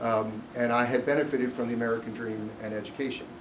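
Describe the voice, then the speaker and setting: A man's monotone, flat delivery with audible room echo and noticeable background noise. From US East Coast. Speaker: business executive. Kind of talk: speech. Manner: loud; unscripted.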